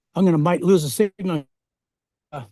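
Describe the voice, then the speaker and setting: A man talks with an American accent, his pitch high with ordinary variation. The sound is dry and close, with no echo. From Minnesota, US Midwest. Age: 70s. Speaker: lodge owner and former farmer. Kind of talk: casual chat, video tour.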